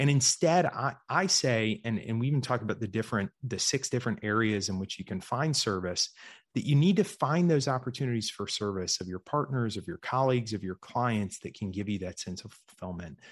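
A man's plain, everyday voice with an American accent, medium in pitch, at a fairly quick pace with hardly any pauses, against a quiet background. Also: lively intonation. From US South, Georgia. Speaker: investor and writer. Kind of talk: interview.

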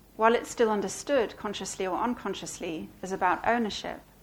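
Moving at a fairly quick pace, a woman speaks with ordinary pitch variation amid audible room echo. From Belgium. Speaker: author. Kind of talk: reading aloud; book talk Q&A. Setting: stage with audience.

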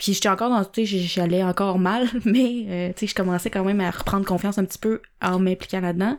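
This woman speaks at a fairly quick pace with hardly any pauses, at a medium pitch. The recording is very clean, with a silent background. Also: fairly even intonation. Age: 20s. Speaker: entrepreneur. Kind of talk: interview.

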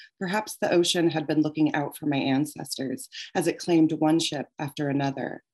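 A woman speaks with an American accent in a very deep, low voice. Her pace is moderate and her pitch variation is ordinary. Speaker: author. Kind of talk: reading aloud; casual chat. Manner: halting.

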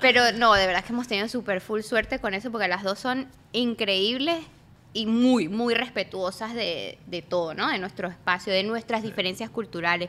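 The pitch varies in an ordinary way. It is an ordinary speaking voice at a moderate pace. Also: woman, fairly high pitch for a woman. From San Cristóbal, Venezuela. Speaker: social media comedian. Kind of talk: casual chat.

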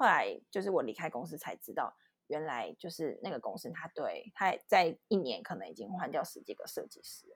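The loudness swings widely while the pace stays moderate. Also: woman. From Taiwan. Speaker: designer and illustrator. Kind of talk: casual interview chat. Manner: hesitant, many fillers.

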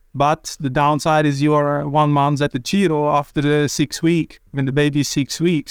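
A man speaks with a Swiss German accent in a fairly high pitch. The sound is dry and close with no echo, on a very clean recording with a silent background. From Switzerland. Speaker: cycling sports director. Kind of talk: casual interview. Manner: halting.

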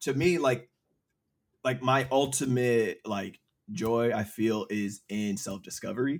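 An unremarkable speaking voice talks at a fairly slow pace with ordinary pitch variation in a very clean recording with a silent background. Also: man, medium pitch for a man. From small town, US. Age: 30s. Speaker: podcast guest. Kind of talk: casual chat.

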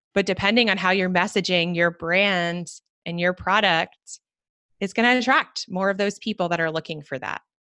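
In a dry, close sound with no echo and a quiet background, a woman with an American accent speaks at a moderate pace, at medium pitch, with a bright, sharp tone and ordinary pitch variation. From US, Washington DC. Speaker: brand strategy consultant. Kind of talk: interview.

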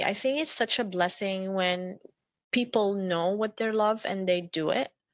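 With an Arabic accent, a woman speaks at a moderate pace and medium pitch, her pitch varying in an ordinary way. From Jordan (Amman). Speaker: entrepreneur. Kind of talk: casual interview. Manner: energetic.

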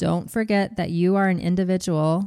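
Putting on a robotic character voice, a woman speaks at a medium pitch and a moderate pace. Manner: flat, robotic reading.

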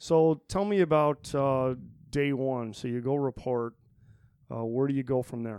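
A man with a Midwestern US accent and a dark, mellow tone, medium in pitch, at a fairly slow pace with long, frequent pauses and ordinary pitch variation. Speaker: podcast host. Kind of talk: casual interview. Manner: informal, jokey.

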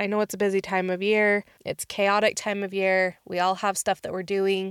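In a very clean recording with a silent background and a dry, close sound with no echo, a woman speaks at a moderate pace with monotone, flat intonation. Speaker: podcast host. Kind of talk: solo monologue.

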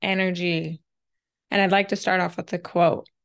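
A woman's medium-pitched voice with vocal fry, fairly even intonation and a fairly quick pace

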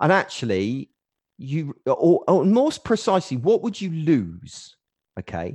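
With an English accent, a man speaks at a fairly slow pace in a dry, close sound with no echo. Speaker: web designer. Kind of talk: podcast interview. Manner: loud.

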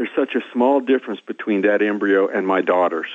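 A man with a Midwestern US accent talks at a moderate pace. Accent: US Midwest. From Kansas. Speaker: scientist and professor. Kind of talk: phone interview. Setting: phone call.

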